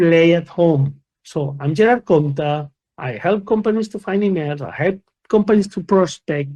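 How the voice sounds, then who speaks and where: With a Spanish accent, a man speaks at a moderate pace in a high pitch, his tone dark and mellow and his pitch variation ordinary. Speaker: company founder and conference speaker. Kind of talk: conference talk. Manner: animated.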